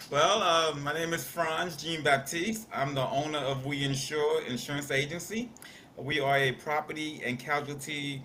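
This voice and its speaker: With audible room echo, a man in a New York accent speaks at a moderate pace with a fairly high pitch. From New York (Queens). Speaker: insurance agent. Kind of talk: interview. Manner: hesitant, many fillers.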